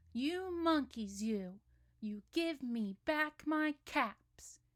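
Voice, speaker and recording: Putting on a character voice, a woman speaks at a very slow pace with a high pitch and very wide pitch swings. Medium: read story. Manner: scolding, with rising anger.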